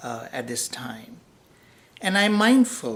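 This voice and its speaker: A man with a non-native accent speaks at a fairly slow pace with ordinary pitch variation amid audible room echo. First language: not English. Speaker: professor. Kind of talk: lecture. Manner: unscripted, with frequent fillers.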